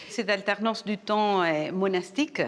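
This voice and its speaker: In a Uruguayan accent, a woman speaks at medium pitch and a moderate pace with ordinary pitch variation. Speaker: professor. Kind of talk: TV interview.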